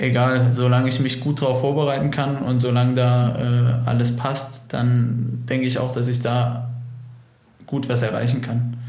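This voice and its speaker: There is noticeable background noise and audible room echo. A man speaks at a medium pitch and a fairly slow pace. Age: 20s. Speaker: motocross racer. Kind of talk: interview.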